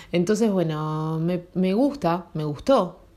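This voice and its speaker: A woman with a Rioplatense accent speaks in a dark, mellow tone. Her pitch is fairly low, with ordinary variation. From Argentina. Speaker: podcaster. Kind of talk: casual monologue. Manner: halting.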